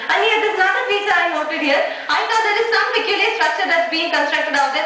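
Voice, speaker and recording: A woman with an extremely high pitch speaks in a raised, projected voice and an upbeat tone. Her intonation is lively over noticeable background noise. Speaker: TV show host / anchor. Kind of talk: TV home-tour presenter reading. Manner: upbeat, friendly, chatty.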